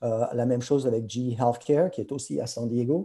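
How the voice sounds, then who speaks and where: A man speaks at a moderate pace with a dark, mellow tone, medium pitch and ordinary pitch variation. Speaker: pharma industry professional. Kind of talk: webinar presentation. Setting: video conference. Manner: halting, many hesitations; code-switching French and English.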